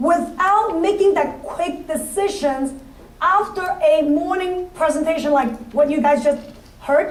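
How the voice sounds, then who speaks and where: A woman with a non-native accent speaks at a high pitch with ordinary pitch variation, with audible room echo and noticeable background noise. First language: not English. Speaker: financial services business leader. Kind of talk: motivational speech. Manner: halting.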